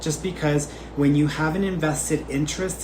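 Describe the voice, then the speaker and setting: A man talks in a space with noticeable echo and clearly audible background noise. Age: 20s. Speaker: psychic medium. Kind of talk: live reading Q&A stream. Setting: livestream. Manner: casual, conversational.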